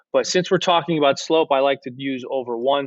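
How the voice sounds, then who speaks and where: A man at a medium pitch, fairly quick in pace, with fairly even intonation. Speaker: algebra teacher. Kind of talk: tutorial. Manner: fast.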